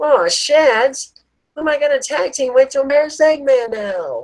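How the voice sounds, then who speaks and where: A female-sounding voice performs a high-pitched, put-on character voice. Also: moderate pace. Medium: read story. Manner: playful, cocky.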